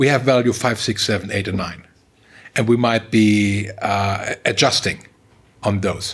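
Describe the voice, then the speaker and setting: A somewhat breathy man's voice at a medium pitch. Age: middle-aged. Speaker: tech company managing director. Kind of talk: interview. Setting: office.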